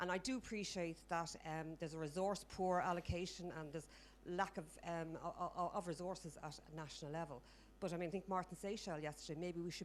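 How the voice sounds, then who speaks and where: In an Irish accent, a woman with vocal fry speaks at a fairly quick pace and a fairly low pitch with fairly even intonation. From Ireland. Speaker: audience member at a health conference. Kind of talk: audience question at a conference. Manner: fast.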